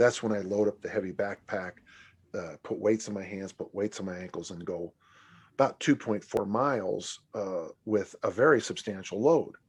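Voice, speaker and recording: Against a quiet background, a man with a normal speaking voice talks at a moderate pace in a fairly low pitch, with ordinary pitch variation and big swings in loudness. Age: 60s. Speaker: strength coach and author. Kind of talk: podcast interview.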